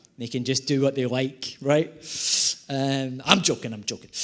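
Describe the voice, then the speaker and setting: A man's fairly high pitch with a Scottish accent. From Scotland, Glasgow. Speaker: environmental economist and comedic speaker. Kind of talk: keynote presentation with humor. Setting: conference stage with audience. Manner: animated, quick humor.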